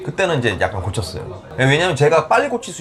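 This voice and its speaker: There is noticeable background noise. Through it, a man's pitch swings very widely. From South Korea, Ulsan then Seoul. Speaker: salsa class leader. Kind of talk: interview. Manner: halting.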